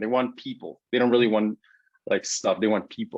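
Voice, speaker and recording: A man with a Spanish accent, medium in pitch, at a moderate pace. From Guatemala. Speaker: social media growth consultant. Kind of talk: casual interview.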